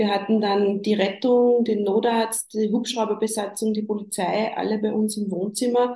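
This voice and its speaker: Her dark, mellow tone sits at a fairly high pitch as the woman speaks in a monotone, flat intonation with hardly any pauses. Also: moderate pace. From Upper Austria. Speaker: bereaved mother, counsellor in training. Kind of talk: interview about grief.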